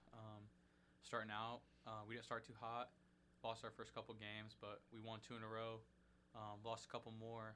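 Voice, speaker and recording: A man with a Midwestern American accent talks at a fairly quick pace in a medium pitch. His tone is bright and sharp, with monotone, flat intonation. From Indianapolis, Indiana (south side). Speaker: college basketball player. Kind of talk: casual interview.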